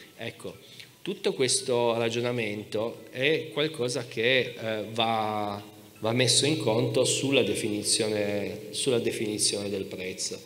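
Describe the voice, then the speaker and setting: Pitch moves in an ordinary way as the man talks very slowly. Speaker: historian; speaker. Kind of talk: panel debate. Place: stage. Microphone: handheld.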